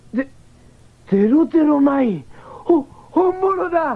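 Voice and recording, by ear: Putting on a character voice, a man speaks at an extremely high pitch with vocal fry, big pitch swings, and a fairly slow pace.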